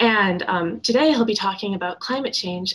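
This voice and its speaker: A woman speaks with a somewhat breathy voice. Her pitch varies in an ordinary way. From Wisconsin (Shorewood, near Milwaukee). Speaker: undergraduate student. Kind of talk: speaker introduction. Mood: warm, friendly. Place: home room. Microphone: webcam.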